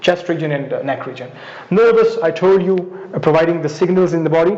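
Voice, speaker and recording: A man's pitch varies in an ordinary way while noticeable background noise and audible room echo surround his voice. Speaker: biology lecturer. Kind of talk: lecture. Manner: fast; halting.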